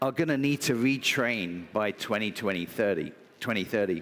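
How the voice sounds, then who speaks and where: A man speaks at a moderate pace in a British accent. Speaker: business executive. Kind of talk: conference talk. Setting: stage with audience.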